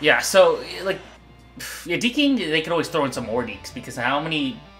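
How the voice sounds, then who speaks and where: With music in the background, a man at a fairly high pitch talks fairly quickly, his pitch swinging very widely. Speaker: hockey TV show host and international hockey fan. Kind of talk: casual conversation with co-host.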